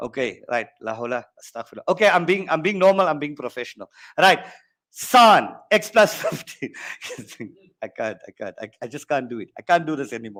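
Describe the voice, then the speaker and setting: A man talks at a fairly quick pace in an animated tone. His fairly high pitch moves in very wide swings. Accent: South African. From South Africa, East Rand (Benoni). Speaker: maths teacher. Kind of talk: online exam-prep lesson. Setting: online workshop.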